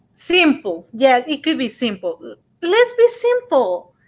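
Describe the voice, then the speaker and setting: With a Spanish accent, a woman speaks at a very slow pace and her pitch swings very widely. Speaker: radio show co-host. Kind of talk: casual chat.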